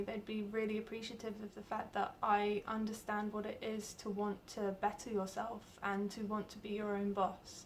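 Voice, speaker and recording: There is noticeable background noise as a woman with a British accent talks at a moderate pace in a fairly high pitch. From UK. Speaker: job applicant, artist and entrepreneur. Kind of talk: video job application pitch.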